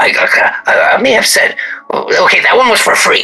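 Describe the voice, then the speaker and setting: A man does a put-on character voice. He speaks at a fairly slow pace. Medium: actual play. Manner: theatrical, ingratiating.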